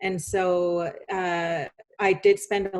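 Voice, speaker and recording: Her fairly low voice stays monotone, with flat intonation throughout. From Canada, British Columbia interior (Penticton reserve). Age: 40s. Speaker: author and speaker. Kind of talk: podcast interview, personal testimony.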